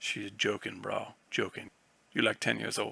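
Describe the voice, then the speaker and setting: A man puts on a raspy character voice and delivers it at a moderate pace. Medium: read story. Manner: blunt, slangy.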